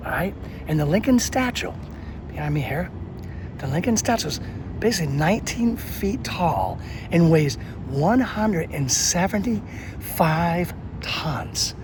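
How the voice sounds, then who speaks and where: Over noticeable background noise and audible room echo, a man with a high pitch talks in very wide pitch swings, leaving long, frequent pauses. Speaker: travel and history video host. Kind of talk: on-location tour explanation. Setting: outdoors at a memorial. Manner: quieter than usual; casual, conversational with fillers.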